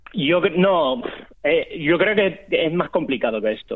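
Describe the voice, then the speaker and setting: A man talks at a fairly slow pace with lively intonation. His is an unremarkable speaking voice. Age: 30s. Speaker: sports journalist. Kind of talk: casual chat.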